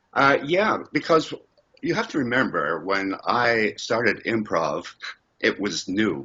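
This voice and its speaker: Speaking at a very slow pace, a man uses a medium pitch with very wide pitch swings and vocal fry. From Scotland, raised in Canada. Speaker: improv comedian. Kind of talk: interview answer.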